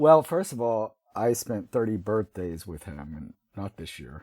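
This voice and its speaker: Lively intonation and a dark, mellow tone mark this man's voice, with an American accent, at a moderate pace. It is a very clean recording with a silent background. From US South. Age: 60s. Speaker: writer. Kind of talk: interview.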